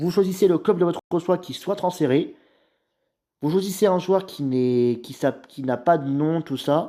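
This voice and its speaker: A man speaks fairly slowly in a dark, mellow tone with a fairly high pitch and lively intonation. The recording is very clean, with a silent background. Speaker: YouTuber. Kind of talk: tutorial.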